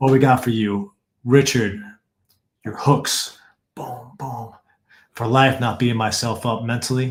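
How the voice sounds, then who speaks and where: Speaking at a fairly slow pace with long, frequent pauses, a man with an American accent and medium pitch sounds somewhat breathy, his loudness swinging widely. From New York. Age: 30s. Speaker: fighting coach. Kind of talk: live online presentation. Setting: video call. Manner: animated.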